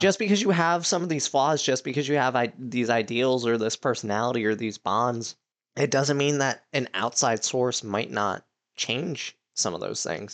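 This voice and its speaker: This man has an unremarkable speaking voice at a medium pitch. He talks at a moderate pace with lively intonation. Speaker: podcast host. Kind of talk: casual chat.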